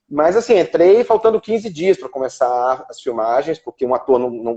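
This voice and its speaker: A man with a high voice speaks at a moderate pace in a dark, mellow tone, with very wide pitch swings. The sound is dry and close with no echo. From Brazil, Ceará. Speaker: actor and screenwriter. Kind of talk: interview on a live stream. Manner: halting, many fillers and repetitions.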